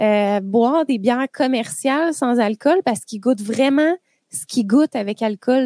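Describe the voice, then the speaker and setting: A woman with a Quebec accent, high-pitched, at a moderate pace. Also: dry, close sound with no echo. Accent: Québécois French. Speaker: podcast host. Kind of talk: casual chat. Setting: studio.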